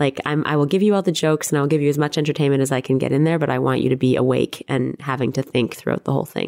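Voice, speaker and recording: A woman with a Canadian accent talks at a very fast pace with hardly any pauses, her very deep, low pitch carrying vocal fry, fairly even intonation and very even loudness. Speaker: playwright and director. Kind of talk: interview.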